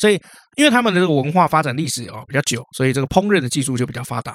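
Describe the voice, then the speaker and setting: The sound is dry and close, with no echo. A man talks at a very fast pace with lively intonation. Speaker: history podcast co-host. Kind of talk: casual history storytelling chat. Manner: animated.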